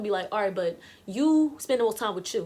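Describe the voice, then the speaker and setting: Over noticeable background noise, a woman speaks loudly with very wide pitch swings. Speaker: YouTuber and musician. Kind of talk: casual vlog monologue. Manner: fast.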